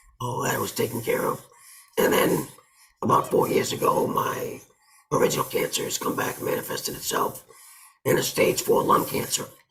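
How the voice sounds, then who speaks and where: A man at an extremely high pitch, monotone and flat in intonation, at a moderate pace with long, frequent pauses. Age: 60s. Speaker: army veteran. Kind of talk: testimony.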